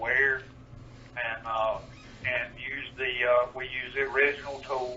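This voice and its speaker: A man with an eastern North Carolina accent, monotone and flat, at a fairly slow pace with long, frequent pauses, amid noticeable background noise. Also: medium pitch for a man. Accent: rural eastern North Carolina dialect. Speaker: historical demonstrator. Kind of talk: radio interview.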